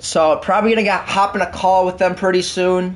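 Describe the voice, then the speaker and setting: The pitch of this man's voice is high. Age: 20s. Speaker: gaming streamer. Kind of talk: live gameplay commentary and casual chat with viewers. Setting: live stream, talking while playing. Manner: rambling, heavy use of fillers like 'like' and 'um'.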